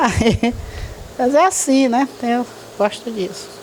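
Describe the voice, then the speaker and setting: A woman's voice over noticeable background noise. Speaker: retired teacher and hymn author. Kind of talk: interview. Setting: at her home.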